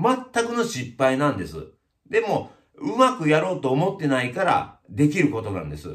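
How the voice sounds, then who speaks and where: Against a quiet background, a man with vocal fry speaks at a fairly high pitch, his pitch swinging very widely. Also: moderate pace. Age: 50s. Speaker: YouTuber, village chief of lifestyle community; channel host. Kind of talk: casual vlog monologue. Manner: many hesitation fillers. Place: shop.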